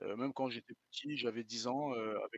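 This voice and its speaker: A medium-pitched male voice at a fairly quick pace, monotone and flat, with a dry, close sound and no echo. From France. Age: 40s. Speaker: guest, French expatriate. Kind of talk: interview. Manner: hesitant, many fillers.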